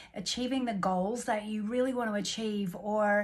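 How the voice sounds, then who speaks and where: A woman with an Australian accent speaks at a moderate pace in a medium pitch, somewhat breathy, with monotone, flat intonation. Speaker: life coach. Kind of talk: self-help coaching talk. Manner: casual, unscripted, hesitant.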